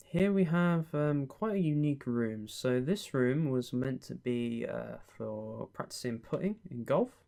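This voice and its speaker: Calm in tone, the speaker uses a British accent at a fairly slow pace with hardly any pauses. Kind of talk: ASMR roleplay as a friendly estate agent giving a house tour. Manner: friendly, calm, soft-spoken.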